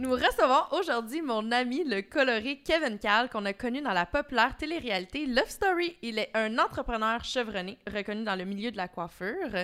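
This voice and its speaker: A woman's high voice with lively intonation at a moderate pace. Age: 30s. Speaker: podcast co-host. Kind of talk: casual chat; scripted introduction. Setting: studio.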